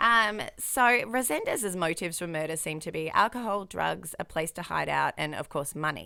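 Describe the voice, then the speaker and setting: With an Australian accent, a woman talks with hardly any pauses. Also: moderate pace. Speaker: true crime podcast host. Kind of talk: casual chat.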